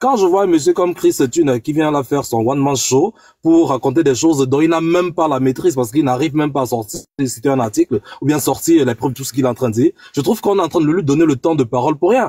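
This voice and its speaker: Music plays in the background as the speech races at a very fast pace with ordinary pitch variation. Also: man, fairly high pitch for a man, dry, close sound with no echo. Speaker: political debate participant. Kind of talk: online panel debate.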